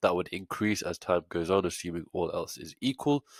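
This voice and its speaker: A man's fairly quick speech with ordinary pitch variation and a dry, close sound with no echo. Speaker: options trading educator. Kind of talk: tutorial.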